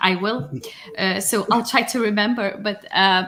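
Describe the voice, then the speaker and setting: A woman with a Lithuanian accent, medium-pitched, at a fairly slow pace. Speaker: data science executive. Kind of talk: podcast interview.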